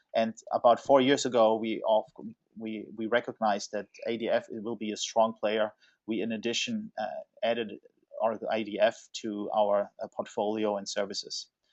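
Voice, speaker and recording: At a moderate pace, a man talks with a German accent. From Germany, Stuttgart. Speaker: software consultancy executive. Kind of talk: webinar presentation. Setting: online webinar. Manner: halting, many fillers.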